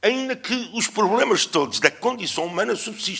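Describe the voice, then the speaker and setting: Here a man talks at a fairly slow pace. His bright, sharp tone carries lively intonation. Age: 70s. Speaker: historian. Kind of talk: conference lecture. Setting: conference with audience. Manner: hesitant, with fillers.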